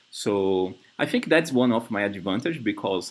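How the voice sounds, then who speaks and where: This man talks at a moderate pace. He has a Brazilian Portuguese accent. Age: 30s. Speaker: software developer. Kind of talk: job interview. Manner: halting.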